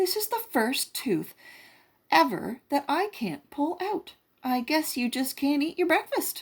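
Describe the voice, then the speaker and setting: A woman performs a put-on character voice, high in pitch and at a fairly slow pace. The recording is very clean, with a silent background. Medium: read story.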